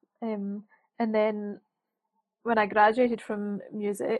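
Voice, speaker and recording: In a Scottish accent, a woman speaks at a fairly high pitch with a monotone, flat intonation. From Scotland. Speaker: freelance writer and author. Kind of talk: casual interview chat.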